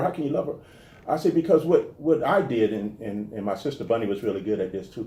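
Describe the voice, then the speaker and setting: With an American accent, the speaker has a dark, mellow, somewhat breathy tone, a fairly quick pace, very wide pitch swings, and audible room echo. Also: man. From New Orleans, US South. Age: 50s. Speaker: comedian and actor. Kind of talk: interview. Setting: garage with door open. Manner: halting, many repetitions.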